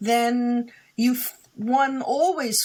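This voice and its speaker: The recording is very clean, with a silent background. A woman speaks in a fairly high, somewhat breathy voice. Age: 60s. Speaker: psychic and author. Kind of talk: interview.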